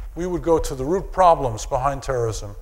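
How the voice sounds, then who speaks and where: At a moderate pace, a man talks with an American accent amid audible room echo. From New York. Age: 60s. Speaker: psychiatrist and anthropologist lecturer. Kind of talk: audience Q&A answer; lecture. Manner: halting.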